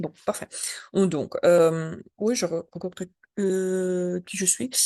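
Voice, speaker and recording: Her dark, mellow voice sits at a medium pitch as this woman speaks very slowly with fairly even intonation, the sound dry and close with no echo. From Belarus. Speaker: journalist. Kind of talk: webinar talk. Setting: video call webinar. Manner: halting, non-fluent French.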